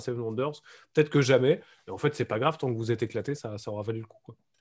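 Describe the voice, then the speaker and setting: Against a quiet background, a somewhat breathy man talks at a very fast pace with ordinary pitch variation. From France. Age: adult. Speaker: board game designer. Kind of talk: casual chat.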